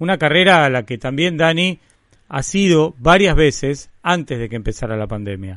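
This man has a fairly high pitch and lively intonation, with a plain, everyday voice. He talks at a moderate pace against a quiet background. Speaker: podcast host and runner. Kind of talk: radio podcast chat and interviews.

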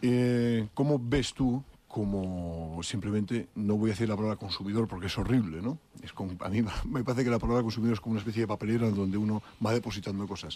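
Words come from this man at a very fast pace. His voice sits fairly low. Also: ordinary pitch variation. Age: 30s. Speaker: radio host. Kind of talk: radio interview.

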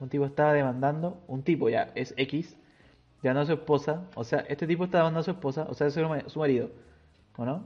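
Fairly even intonation and a fairly quick pace from a man pitched fairly high. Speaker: podcast host. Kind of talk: casual chat.

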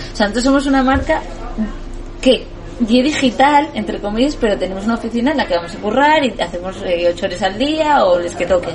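Noticeable background noise sits behind a woman with a fairly high pitch. She speaks at a very fast pace with lively intonation. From Asturias, Spain. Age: 30s. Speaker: entrepreneur. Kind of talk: casual interview.

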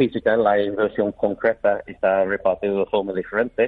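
Speaking with a British accent, a man keeps a moderate pace. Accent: foreign (British) accent in Spanish. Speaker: business chamber president. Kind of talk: radio interview. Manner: halting.

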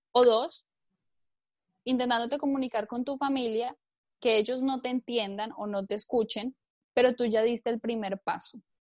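Speaking at a moderate pace with long, frequent pauses, a woman uses a high pitch and fairly even intonation over a quiet background, the sound dry and close without echo. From Colombia. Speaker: entrepreneur. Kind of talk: interview.

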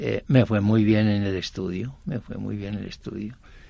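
A man talks at a fairly slow pace in a fairly low pitch with a dark, mellow tone. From Colombia, Quindío (Armenia). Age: 80s+. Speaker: university co-founder, engineer. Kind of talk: interview. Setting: studio.

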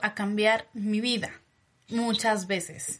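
A woman raises and projects her voice. Her tone is bright and sharp. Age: 30s. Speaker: podcast host, women's empowerment coach. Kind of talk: casual chat.

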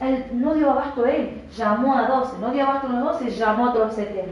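In an Argentine accent, a woman talks at a high pitch with ordinary pitch variation, amid noticeable background noise and audible room echo. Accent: Argentine Spanish (voseo). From Argentina. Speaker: preacher teaching a church school. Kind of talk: teaching talk with testimony.

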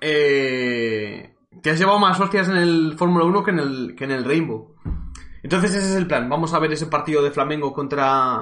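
In an animated tone, a man speaks at a fairly high pitch. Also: ordinary pitch variation, moderate pace. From Spain, Cuenca. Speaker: esports streamer and caster. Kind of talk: live stream commentary, casual. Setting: live stream from home.

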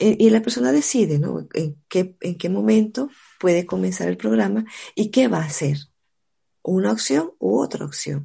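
Fairly slow and somewhat breathy, the voice has a dark, mellow tone and very wide pitch swings against a quiet background. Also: woman, very deep, low pitch for a woman. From Venezuela, Caracas. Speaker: network marketing entrepreneur. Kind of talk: casual chat.

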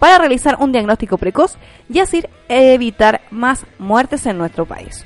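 With music in the background, a woman with a Chilean accent and high pitch talks at a moderate pace with lively intonation. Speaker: radio host. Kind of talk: casual chat.

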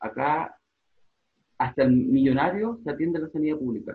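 A man talks at a moderate pace and a fairly high pitch. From Chile. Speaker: journalist. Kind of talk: casual chat.

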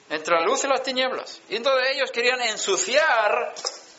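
Noticeable background noise is present. The man's voice carries audible room echo. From Sweden. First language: Swedish (speaking Spanish). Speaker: preacher. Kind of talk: sermon.

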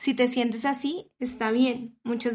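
Moderate pace, fairly even intonation, and a Colombian accent. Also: woman. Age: 30s. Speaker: podcast host and psychologist. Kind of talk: interview; scripted intro.

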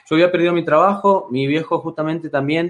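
An ordinary speaking voice, a man's, fairly high in pitch, at a fairly quick pace with fairly even intonation. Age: 20s. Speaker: life coach. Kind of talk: interview.

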